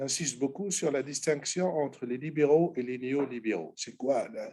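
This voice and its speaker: The man's pitch is fairly high, with ordinary variation. His tone is dark and mellow. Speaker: economics lecturer. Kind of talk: lecture.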